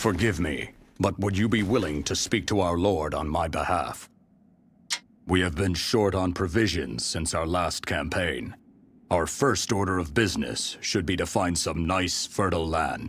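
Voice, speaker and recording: Using a put-on character voice, a man speaks with a very deep, low pitch at a moderate pace. The recording is very clean, with a silent background. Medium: video game. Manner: formal, deferential.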